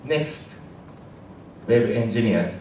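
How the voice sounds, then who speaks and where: A man with a Japanese accent talks at a medium pitch, with noticeable background noise and audible room echo. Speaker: app engineer. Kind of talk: conference talk. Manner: halting.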